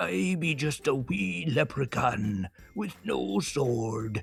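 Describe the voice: A man uses a put-on character voice at a medium pitch, talking at a very slow pace. Faint music plays in the background.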